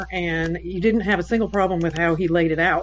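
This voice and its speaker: Intonation stays fairly even at a moderate pace. The voice is an unremarkable speaking voice. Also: woman. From Los Angeles, US. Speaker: book club member. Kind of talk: casual chat.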